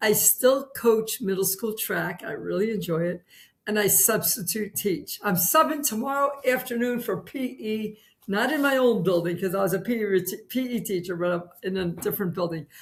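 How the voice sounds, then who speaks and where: Her intonation lively, a woman speaks at a medium pitch in a somewhat breathy voice. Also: moderate pace. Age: 60s. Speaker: retired PE teacher and carnivore dieter. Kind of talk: interview testimony.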